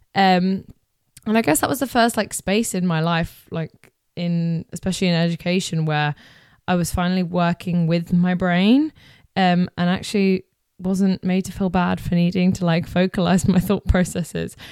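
In a very clean recording with a silent background, a woman with a British accent speaks at a moderate pace, her fairly low pitch held in fairly even intonation. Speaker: podcast host. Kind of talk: casual monologue.

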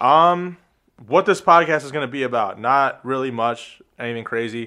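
A man speaks with an American accent in a bright, sharp tone. His pitch varies in an ordinary way against a quiet background. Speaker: podcast co-host, gym worker. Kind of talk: casual chat.

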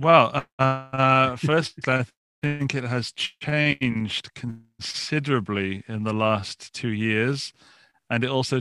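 Against a quiet background, a man with a British accent speaks at a medium pitch in a bright, sharp tone, his intonation fairly even and the sound dry and close with no echo. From England, Forest of Dean, Gloucestershire. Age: 40s. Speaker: YouTuber and podcaster. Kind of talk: interview. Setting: video call from home studio.

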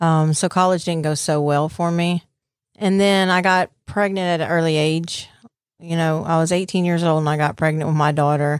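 Fairly low female voice in a Southern US accent, moderate in pace, with monotone, flat intonation and very even loudness. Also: very clean recording, silent background. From Mississippi Gulf Coast. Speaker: recovering addict sharing testimony. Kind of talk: testimony. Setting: studio interview.

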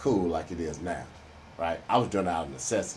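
A man with an American accent speaks in a very deep, low, somewhat breathy voice, with audible room echo. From Houston, Texas (Third Ward). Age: old. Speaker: retired businessman and entrepreneur. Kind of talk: interview.

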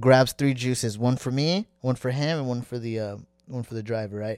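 A medium-pitched man with an American accent, fairly even intonation and a moderate pace in a very clean recording with a silent background. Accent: American, noticed in Somalia when speaking. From US West Coast, San Diego, California. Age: 20s. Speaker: Somali-American traveller, podcast guest. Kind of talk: casual chat.

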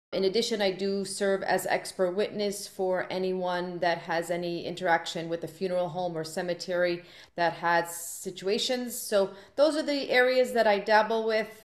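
A woman speaks in a normal speaking voice at a medium pitch. Her pace is moderate and her pitch varies in an ordinary way. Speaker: professor. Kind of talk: casual chat.

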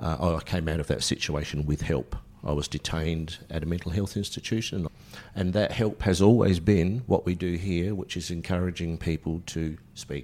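Speaking with an Australian accent, a man with a very deep, low pitch keeps a moderate pace and ordinary pitch variation. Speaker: mental health centre volunteer. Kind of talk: personal testimony interview. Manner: casual, candid.

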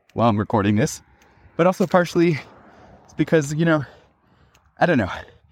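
His intonation is lively as the man speaks. The recording is very clean, with a completely silent background. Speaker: podcast host and musician. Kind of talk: solo podcast monologue. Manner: animated.

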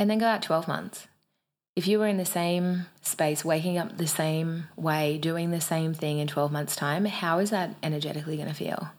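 A woman with an Australian accent, fairly low in pitch, at a moderate pace and with fairly even intonation. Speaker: podcast co-host, personal growth coach. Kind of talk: pep talk. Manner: fired-up, emphatic, urgent, direct-address.

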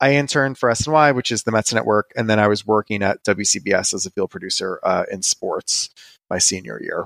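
An ordinary speaking voice from a man with an American accent, at a moderate pace with ordinary pitch variation, dry and close with no echo, on a very clean recording with a silent background. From New York (Brooklyn, Westchester). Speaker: food blogger. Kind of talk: interview.

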